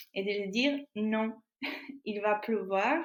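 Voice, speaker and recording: A woman with a Portuguese accent speaks at a medium pitch. Her pace is very slow. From Portugal. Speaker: artist and filmmaker. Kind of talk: interview answer.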